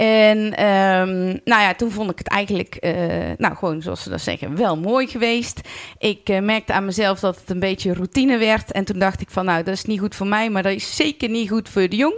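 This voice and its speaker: Her pitch sits in the medium range with ordinary variation. The woman keeps a moderate pace. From Netherlands, North Brabant (Vught). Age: 40s. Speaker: carnival club president. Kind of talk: podcast interview. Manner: hesitant, many filler words.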